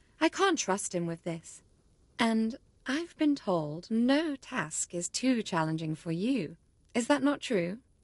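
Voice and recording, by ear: A woman speaks slowly in a put-on character voice, fairly high-pitched, with big pitch swings.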